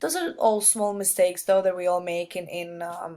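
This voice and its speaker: A woman with a non-native accent, medium pitch and moderate pace. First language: not English. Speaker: student. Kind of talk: peer feedback recording. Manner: halting, many fillers.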